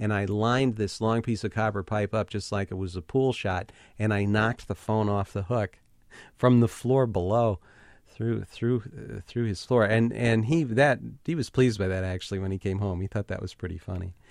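In a normal speaking voice, a man talks at a moderate pace and fairly low pitch with ordinary pitch variation, recorded very cleanly over a silent background. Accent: American. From Ohio, US Midwest. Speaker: writer. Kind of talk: interview.

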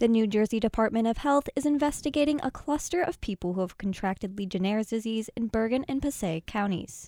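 The dark, mellow voice moves at a fairly quick pace with lively intonation and hardly any pauses, in a dry, close sound with no echo. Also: woman, fairly high pitch for a woman. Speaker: radio news host. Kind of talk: news reading. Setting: studio.

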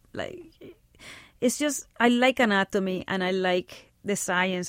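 In a Spanish accent, the speech moves at a fairly slow pace with ordinary pitch variation, over a very clean recording with a silent background. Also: woman. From Puerto Rico. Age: 40s. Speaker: filmmaker. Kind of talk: interview.

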